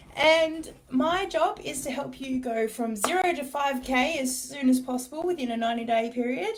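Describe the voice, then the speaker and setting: This woman has an Australian accent. Her delivery rises and falls in a lively way. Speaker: business coach. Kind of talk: live stream talk. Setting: office, live video.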